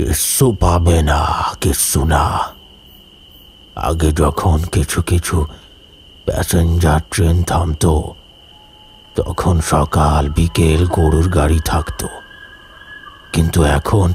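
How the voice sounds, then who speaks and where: A man's put-on character voice, very deep and low, gruff, hoarse and wheezy, at a very slow pace. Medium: read story. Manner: gruff, grumbling.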